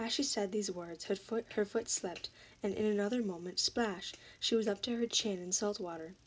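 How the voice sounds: A natural reading voice, pitch varying by an ordinary degree.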